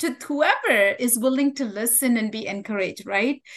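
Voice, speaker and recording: A woman is talking. She has a high-pitched voice. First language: not English. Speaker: nurse educator and author. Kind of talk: interview.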